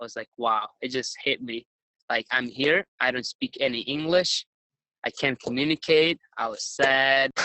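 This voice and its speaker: Speaking in a Ukrainian accent, this man has a fairly high pitch. His pace is fairly slow. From Ukraine. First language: Ukrainian or Russian. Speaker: retired wrestler. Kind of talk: interview.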